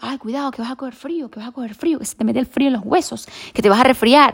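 With lively intonation, a woman talks in a high voice. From Venezuela. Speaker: podcast host. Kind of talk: solo podcast monologue. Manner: halting, many fillers and restarts.

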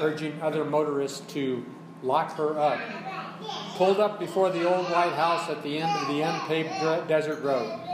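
Over noticeable background noise and audible room echo, a man talks at a moderate pace in a fairly high voice with fairly even intonation. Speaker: fiction writer reading at open mic. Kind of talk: reading aloud. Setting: cafe with audience.

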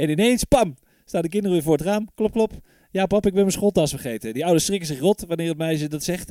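The recording is dry and close with no echo, carrying a man's high-pitched voice with a dark, mellow tone and ordinary pitch variation. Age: 30s. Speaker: podcast host. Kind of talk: casual chat.

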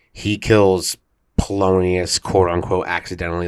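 A man's very deep, low voice holds a monotone, flat intonation on a very clean recording with a silent background. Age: 20s. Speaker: stage actor. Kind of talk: casual chat.

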